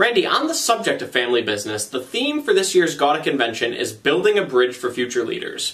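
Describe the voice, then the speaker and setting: Noticeable background noise fills the clip while a man talks very fast. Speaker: trade association video show host. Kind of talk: scripted news reading and interview.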